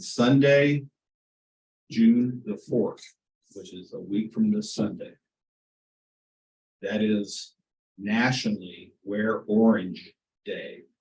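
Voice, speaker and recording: Speaking very slowly with long, frequent pauses, a man with a Midwestern American accent uses a medium pitch, ordinary pitch variation and big swings in loudness. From Kansas, Wichita. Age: 70s. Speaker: community member speaking at public meeting. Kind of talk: public comment at board meeting.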